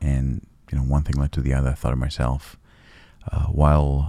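Over noticeable background noise, a man speaks at a moderate pace with a very deep, low pitch and ordinary pitch variation. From Israel. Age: 40s. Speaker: real estate developer. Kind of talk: interview.

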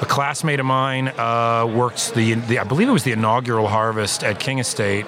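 Here a man with an American accent speaks at medium pitch. Noticeable background noise can be heard. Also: fairly quick pace, very even loudness. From California, Central Valley. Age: 40s. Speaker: winemaker. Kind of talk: casual interview. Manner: halting.

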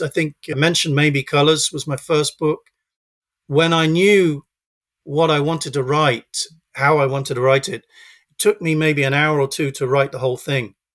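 With a British accent, a man speaks at a moderate pace in a fairly high pitch with fairly even intonation, on a very clean recording with a silent background and a dry, close sound with no echo. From UK. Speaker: children's author. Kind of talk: interview. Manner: halting.

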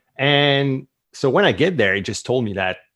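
A man in a French Canadian accent speaks with lively intonation. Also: very clean recording, silent background. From Quebec. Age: 30s. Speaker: entrepreneur and author. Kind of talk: interview.

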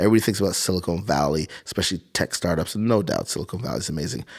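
A man speaks in a very deep, low pitch with ordinary pitch variation, on a very clean recording with a silent background. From Montreal, Canada. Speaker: science museum CEO. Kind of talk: casual interview. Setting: studio.

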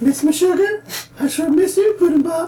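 A put-on character voice at an extremely high pitch comes out strained. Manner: playful, mocking.

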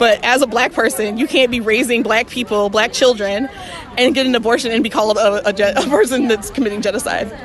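A speaker with a Southern US accent talks at a very fast pace in an animated tone, keeping the loudness very even. Crowd noise fills the background. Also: woman, fairly high pitch for a woman. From US South, Mississippi. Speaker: reproductive rights activist. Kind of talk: interview; rally speech. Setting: outdoor rally.

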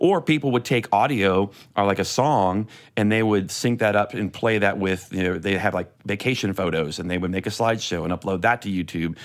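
A man's ordinary speaking voice, fairly low in pitch with ordinary variation, at a fairly quick pace on a very clean recording with a silent background. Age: 40s. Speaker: church media tech and YouTuber. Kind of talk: casual chat.

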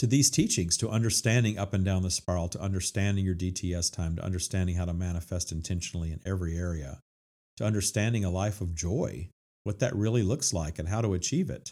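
In an American accent, a man with a very deep, low pitch and a dark, mellow tone speaks at a very fast pace with ordinary pitch variation. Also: very clean recording, silent background. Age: 50s. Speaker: spiritual self-help author and podcast host. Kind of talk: monologue on spiritual teachings.

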